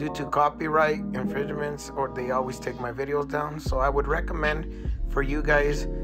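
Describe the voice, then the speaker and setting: Music can be heard behind the voice. The delivery is moderately paced. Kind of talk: channel intro narration.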